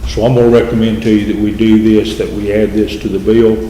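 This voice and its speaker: A man with a Southern US accent speaks at a fairly low pitch, with noticeable background noise and audible room echo. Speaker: mayor chairing city council. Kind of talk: council meeting presentation. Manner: halting, with fillers.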